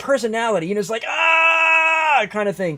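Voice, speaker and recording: A man speaks at a high pitch and a fairly quick pace. Noticeable background noise runs behind him. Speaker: live streamer. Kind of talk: casual livestream talk. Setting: livestream.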